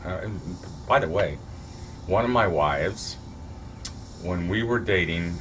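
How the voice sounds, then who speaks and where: This man's voice is very deep and low, and he talks at a fairly slow pace. Audible echo fills the room. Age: 60s. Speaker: vlogger giving relationship advice. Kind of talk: casual monologue to camera. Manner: halting, many fillers and restarts.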